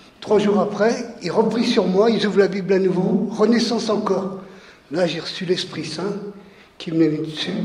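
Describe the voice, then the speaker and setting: With audible room echo and noticeable background noise, a man talks at a moderate pace in a high pitch with fairly even intonation. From France, Lyon suburbs (Vaulx-en-Velin). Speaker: workshop participant. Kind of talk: testimony. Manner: halting.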